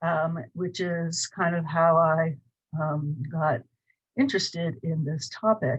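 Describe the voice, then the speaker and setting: A woman's fairly low, somewhat breathy voice in an American accent, at a very slow pace. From US Midwest, Cleveland, Ohio. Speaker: professor. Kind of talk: lecture. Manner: hesitant, many fillers.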